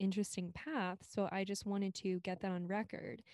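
A woman with an American accent has a normal speaking voice at a medium pitch and a moderate pace. The recording is very clean, with a silent background. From Maryland, US. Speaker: singer, ghostwriter and podcast host. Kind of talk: casual interview chat.

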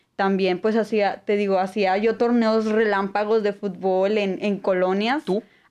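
A woman's ordinary speaking voice, medium in pitch, with fairly even intonation, a fairly slow pace and hardly any pauses. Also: very even loudness. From Apodaca, Nuevo León, northern Mexico. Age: 20s. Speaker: international relations student. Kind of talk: casual interview.

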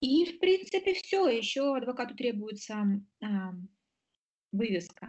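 A woman with a high pitch speaks at a fairly slow pace, using very wide pitch swings and long, frequent pauses. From Moldova. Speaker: lawyer. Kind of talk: interview.

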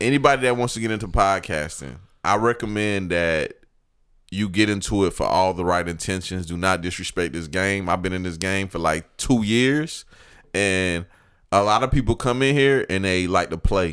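A man with an American accent and a very deep, low pitch is heard on a very clean recording with a silent background. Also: ordinary pitch variation, moderate pace. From US South, Georgia (Evans). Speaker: podcast host, guest co-host. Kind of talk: casual chat.

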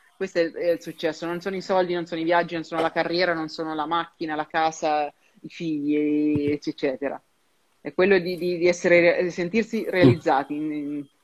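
With an ordinary speaking voice, a woman talks at a fairly quick pace and fairly low pitch, keeping her intonation fairly even. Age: 30s. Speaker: career advisor in human resources. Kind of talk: interview.

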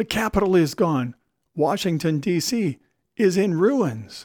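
In a put-on character voice, a man speaks at a fairly slow pace, his pitch high and his intonation lively. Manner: wailing, frantic.

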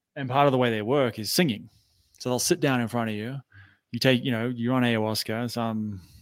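A man with an Australian accent talks at a fairly quick pace in a medium pitch with ordinary pitch variation, sounding dry and close with no echo on a very clean recording with a silent background. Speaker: entrepreneur and anxiety coach. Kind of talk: interview.

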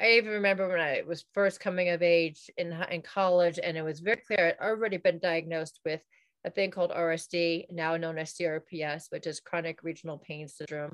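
In an American accent, a woman speaks at a moderate pace with hardly any pauses, a fairly low pitch, fairly even intonation and a dry, close sound with no echo. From New York. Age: 40s. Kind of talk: interview conversation. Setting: video call.

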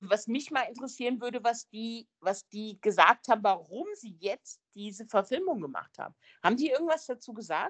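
Lively intonation from a woman with a plain, everyday voice, fairly high in pitch, with big swings in loudness and a dry, close sound with no echo. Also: moderate pace. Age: 50s. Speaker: film podcast guest. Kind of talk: casual chat.

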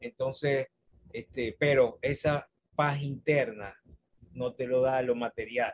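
The sound is dry and close, with no echo. The voice is somewhat breathy. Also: man. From Venezuela, Maracaibo. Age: 50s. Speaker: university staff member and author. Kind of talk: interview.

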